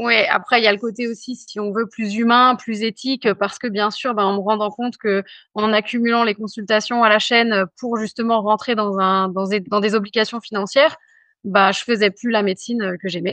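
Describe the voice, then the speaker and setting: Monotone, flat intonation from a woman at a fairly high pitch. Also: moderate pace. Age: 40s. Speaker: general practitioner. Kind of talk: interview. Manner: hesitant, many fillers.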